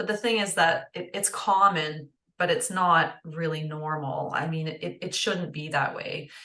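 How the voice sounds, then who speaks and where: Speaking fairly slowly with a Canadian accent, a woman uses a bright, sharp tone, a fairly low pitch and fairly even intonation. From northern Ontario, Canada. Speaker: holistic nutritionist. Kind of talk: interview conversation. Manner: hesitant with many fillers.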